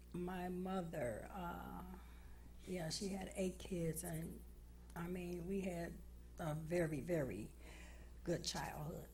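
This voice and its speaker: A woman with a Chicago accent speaks at a very slow pace with long, frequent pauses amid audible room echo. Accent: Chicago American English. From US Midwest, Chicago southwest side. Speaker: recovering addict guest. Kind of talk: interview.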